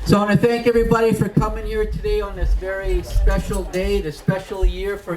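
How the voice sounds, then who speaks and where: A man talks at a middling rate while clearly audible background noise continues. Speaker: First Nations band leader. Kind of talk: ceremonial speech.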